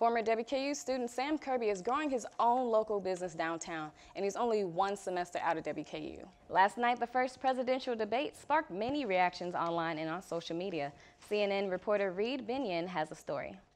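Speaking at a fairly quick pace, a woman with a medium pitch and lively intonation has an ordinary speaking voice. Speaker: news anchor and reporter. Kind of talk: broadcast news anchor and reporter delivery. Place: studio. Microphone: lapel.

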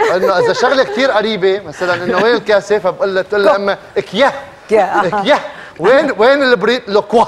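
A high-pitched male voice over light background noise. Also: ordinary pitch variation, moderate pace. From Aleppo, Syria. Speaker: talk show guest. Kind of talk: TV talk show guest explaining dialect. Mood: playful, joking. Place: studio.

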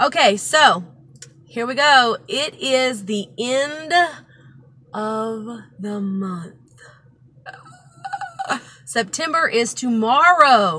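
With long, frequent pauses and big swings in loudness, a woman speaks at a very slow pace. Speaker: vlogger. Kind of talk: casual vlog chat. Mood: cheerful, relaxed. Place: car. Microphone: phone near.

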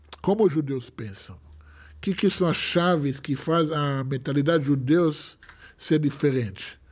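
The pace of this man's speech is fairly slow. His pitch sits fairly high, with ordinary variation. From Israel. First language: Hebrew (speaking Portuguese). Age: 40s. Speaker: rabbi. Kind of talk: casual chat. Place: studio. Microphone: studio mic.

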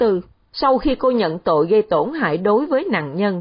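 Pitched fairly high, a woman talks at a fairly slow pace. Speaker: newsreader. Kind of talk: news reading.

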